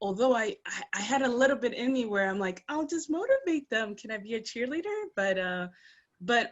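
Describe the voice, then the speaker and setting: A woman with an American accent talks at a moderate pace in a high pitch, her pitch swinging very widely. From New York, Ecuadorian family. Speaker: engineer and recruitment firm founder. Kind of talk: interview. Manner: animated.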